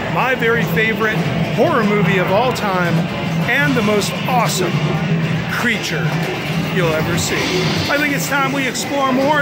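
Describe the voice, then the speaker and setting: Clear music plays in the background as a man speaks with long, frequent pauses. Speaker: travel vlogger. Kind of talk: casual vlog chat. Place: hall. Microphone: phone near.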